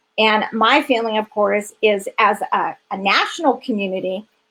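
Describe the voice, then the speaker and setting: Her voice is a plain, everyday voice, a woman's with fairly high pitch and ordinary pitch variation. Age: 50s. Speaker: founder of a refuge for sex trafficking victims. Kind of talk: interview on a live stream. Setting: live stream interview.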